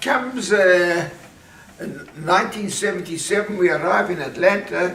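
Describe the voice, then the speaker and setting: A man speaks at a moderate pace with a high pitch and ordinary pitch variation. Audible room echo and noticeable background noise surround him. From South Africa, Johannesburg. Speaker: family patriarch telling life story. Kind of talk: casual family interview. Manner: halting.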